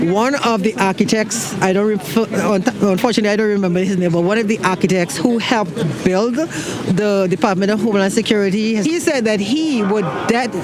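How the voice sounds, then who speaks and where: A man speaks in a high pitch with a non-native accent. Noticeable background noise can be heard. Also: ordinary pitch variation, fairly quick pace. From outside the US. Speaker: vigil attendee. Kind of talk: street interview. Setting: outdoors. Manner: halting.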